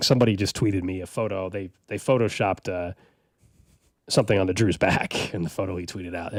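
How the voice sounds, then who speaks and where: A raspy, put-on character voice from a man, very deep and low in pitch, with fairly even intonation at a very fast pace, on a very clean recording with a silent background. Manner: laughing while talking.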